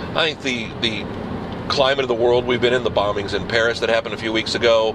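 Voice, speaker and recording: The speech comes at a fairly quick pace. The sound is dry with no echo, and there is noticeable background noise. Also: man. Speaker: video blogger. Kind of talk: casual video blog monologue. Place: car. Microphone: phone near.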